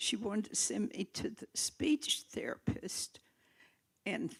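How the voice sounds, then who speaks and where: Someone whispers at a very slow pace. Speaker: audience member. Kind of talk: Q&A question.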